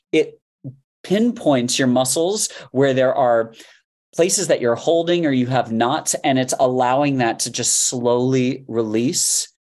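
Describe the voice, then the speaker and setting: A man with an American accent speaks at a fairly slow pace in a plain, everyday voice, his pitch medium and its variation ordinary. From Miami, Florida. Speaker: fitness coach. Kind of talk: interview.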